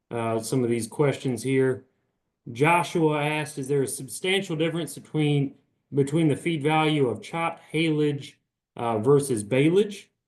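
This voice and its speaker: Here a man speaks with a Southern US accent. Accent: Southern US accent noticeable. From Virginia. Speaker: beef cattle extension specialist. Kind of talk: webinar Q&A. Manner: informal, many fillers and restarts.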